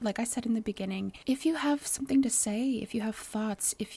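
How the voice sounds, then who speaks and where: At a moderate pace, a woman speaks with a fairly high pitch, a dark, mellow tone and a somewhat breathy quality. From US Midwest. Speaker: podcast host. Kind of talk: casual monologue; interview. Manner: animated.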